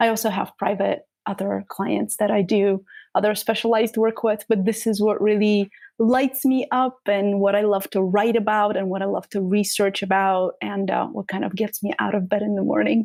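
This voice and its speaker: This woman's voice sits at a medium pitch, and her intonation stays fairly even. She talks at a moderate pace in a very clean recording with a silent background. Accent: Bulgarian. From Bulgaria. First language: Bulgarian. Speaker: trauma practitioner and author. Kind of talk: interview.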